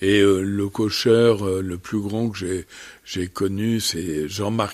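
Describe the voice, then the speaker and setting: The man speaks at a very slow pace. His pitch is fairly low and his intonation fairly even. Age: 70s. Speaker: bird conservation leader. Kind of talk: radio interview.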